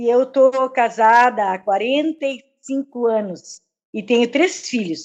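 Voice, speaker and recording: A woman's high-pitched voice at a very slow pace, over a quiet background. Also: ordinary pitch variation. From southern Brazil, Rio Grande do Sul border (Santana do Livramento). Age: 60s. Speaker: religious volunteer. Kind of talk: casual chat. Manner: halting, many fillers.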